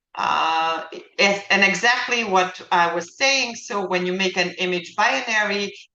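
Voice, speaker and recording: A woman speaks at a medium pitch with lively intonation, and audible room echo can be heard. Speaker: lecturer teaching image analysis. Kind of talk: lecture. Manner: halting, many fillers.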